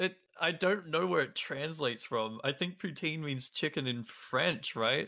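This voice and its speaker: With an Australian accent, a man speaks at a fairly slow pace in a bright, sharp tone, fairly high pitch, ordinary pitch variation and very even loudness. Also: very clean recording, silent background. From Australia, Melbourne. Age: 20s. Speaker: speedrunner and streamer. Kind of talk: casual chat.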